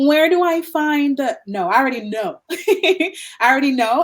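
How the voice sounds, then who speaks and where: On a very clean recording with a silent background, a woman with an American accent talks in a high voice with lively intonation. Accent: American accent, can switch to Guyanese. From Guyana. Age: 50s. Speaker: digital nomad and pet sitter. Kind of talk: interview.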